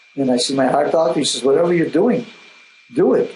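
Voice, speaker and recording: A man speaking over noticeable background noise. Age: 70s. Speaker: Crohn's disease patient. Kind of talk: interview. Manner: halting.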